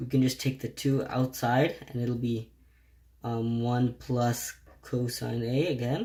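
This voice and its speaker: Dark, mellow and somewhat breathy, a man's medium-pitched voice moves at a very slow pace with monotone, flat intonation. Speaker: math tutor. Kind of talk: tutorial.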